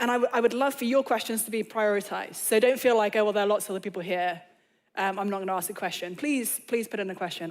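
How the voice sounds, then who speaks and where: A woman with an English accent speaks at a very fast pace and a fairly high pitch, with ordinary pitch variation. The recording is very clean, with a silent background. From England. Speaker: author and speaker. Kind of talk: lecture. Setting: stage with audience.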